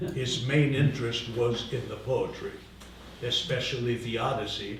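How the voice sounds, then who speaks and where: Noticeable background noise and audible room echo accompany a man speaking with monotone, flat intonation. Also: medium pitch for a man, moderate pace. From Greece, Samos. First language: Greek. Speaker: literature lecturer and translator. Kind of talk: lecture. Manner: halting, with many fillers.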